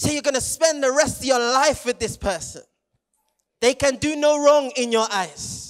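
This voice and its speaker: With a British accent, the speaker uses an animated tone and ordinary pitch variation at a moderate pace over a quiet background. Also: man, extremely high pitch for a man. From England, Jamaican heritage. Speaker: youth preacher. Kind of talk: sermon. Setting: stage with audience. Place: stage. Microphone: handheld.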